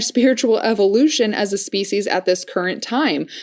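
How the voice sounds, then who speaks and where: A woman's voice with lively intonation at a moderate pace, on a very clean recording with a silent background. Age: 20s. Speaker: spiritual podcast host. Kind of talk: reading aloud with casual commentary. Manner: animated, excitable.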